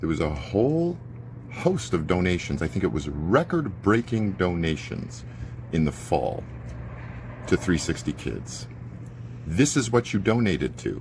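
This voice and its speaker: A man speaks in a very deep, low voice at a fairly slow pace, with very wide pitch swings. He leaves long, frequent pauses. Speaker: neighbourhood watchdog vlogger. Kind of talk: live video commentary. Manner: animated; loud.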